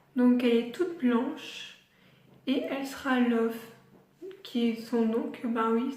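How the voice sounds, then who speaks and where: A woman speaks at a very slow pace in a high voice, her intonation flat and monotone. The room echo is audible, and there is noticeable background noise. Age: 20s. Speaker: pet vlogger. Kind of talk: casual vlog. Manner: hesitant, many fillers.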